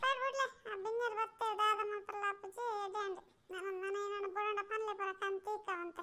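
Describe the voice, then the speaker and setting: A woman's cartoonish character voice, extremely high-pitched, monotone and flat, at a fairly slow pace. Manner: exasperated, argumentative.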